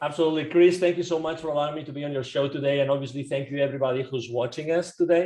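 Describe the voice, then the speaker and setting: A man with a Spanish accent and a dark, mellow, fairly high voice rushes along at a very fast pace with hardly any pauses and fairly even intonation. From Spain. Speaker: business coach. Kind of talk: podcast interview. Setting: remote call.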